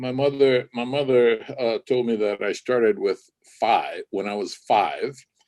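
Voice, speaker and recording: Someone with a Hawaiian accent speaks at a fairly slow pace in a dry, close sound with no echo. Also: man. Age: 70s. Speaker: ukulele musician. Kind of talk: interview. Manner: halting.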